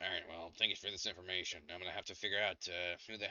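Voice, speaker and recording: A man puts on a raspy character voice, very deep and low in pitch, talking at a very fast pace with a monotone, flat delivery. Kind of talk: casual, swearing. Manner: gruff, irritated.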